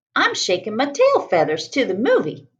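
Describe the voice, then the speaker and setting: The voice sits at a fairly high pitch. It is a put-on character voice. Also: moderate pace. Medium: read story.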